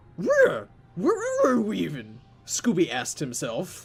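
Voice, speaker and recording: Over faint background music, a man does a put-on character voice at a fairly slow pace. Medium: read story. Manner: replaces consonants with r sounds.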